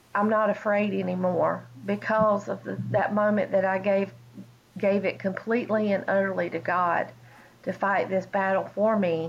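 A woman speaks in a Southern US accent at a moderate pace. Her pitch is medium and her intonation fairly even. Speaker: pastor's wife, cancer survivor. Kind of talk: testimony. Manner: halting.

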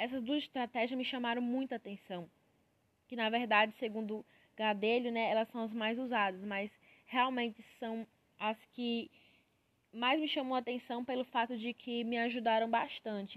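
The speech moves at a moderate pace in a monotone, flat intonation, with a dry, close sound and no echo. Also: woman, fairly high pitch for a woman. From Piauí, Brazil. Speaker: university student. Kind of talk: student podcast monologue. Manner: halting, many filler pauses.

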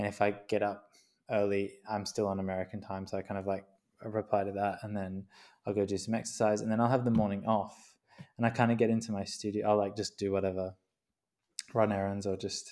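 Speaking with an Australian accent at a fairly quick pace, a man has a fairly low, dark and mellow voice in a flat monotone, on a very clean recording with a silent background. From Queensland, Australia. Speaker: graphic designer and artist. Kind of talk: interview.

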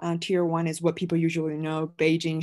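Speaking with a Chinese accent, a woman has a fairly low pitch and a dark, mellow tone. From China (Guiyang, Guizhou). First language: Mandarin Chinese. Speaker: multimedia creator, film graduate. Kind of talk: interview conversation. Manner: hesitant, many fillers.

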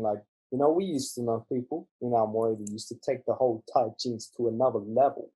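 Speaking at a fairly quick pace, a man has a medium-pitched voice. His tone is dark and mellow and somewhat breathy. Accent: Australian. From Australia. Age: 20s. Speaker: podcast guest. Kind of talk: casual chat.

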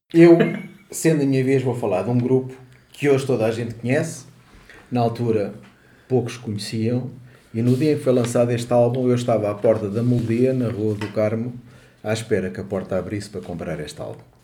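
A man talks at a fairly quick pace with long, frequent pauses, his medium pitch moving in ordinary variation amid audible room echo. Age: 60s. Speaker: podcast co-host. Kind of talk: casual chat.

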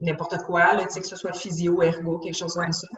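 This is a woman speaking. Her voice is fairly low in pitch. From Quebec, west island of Montreal. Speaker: nutritionist. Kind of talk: casual interview.

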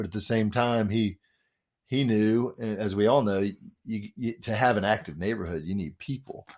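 A man with an American accent and a plain, everyday voice, fairly low in pitch, at a moderate pace, on a very clean recording with a silent background. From Memphis, Tennessee and Washington DC. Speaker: real estate developer and former radio DJ. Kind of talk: radio interview.

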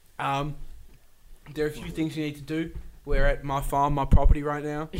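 Over noticeable background noise, a man speaks at a fairly quick pace with a fairly high pitch and fairly even intonation. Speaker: comedy podcast co-host. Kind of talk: improvised comedic role-play.

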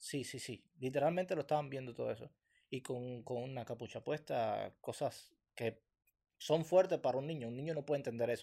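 The man's voice has a dark, mellow tone and a medium pitch, with ordinary pitch variation at a fairly quick pace. The recording is very clean, with a silent background. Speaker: podcast host. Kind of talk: casual chat.

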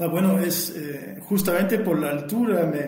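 In a French accent, a man speaks at a moderate pace with ordinary pitch variation, with audible room echo and music in the background. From France, Burgundy. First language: French (speaking Spanish). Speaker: winemaker. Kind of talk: interview. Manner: halting, frequent repetitions.

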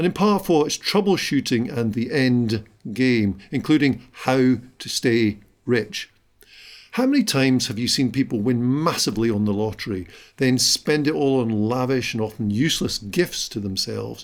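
With lively intonation, a man speaks at medium pitch in a plain, everyday voice. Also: moderate pace. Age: 50s. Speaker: business podcast host. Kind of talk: solo podcast monologue.

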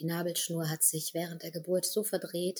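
This woman has a dark, mellow tone and fairly low pitch. Her voice is somewhat breathy. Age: 30s. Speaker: healer and actress. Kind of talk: interview about grief.

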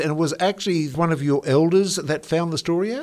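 Lively in intonation, a man speaks with an Australian accent at a moderate pace. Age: older than guest. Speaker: radio host. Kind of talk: radio interview.

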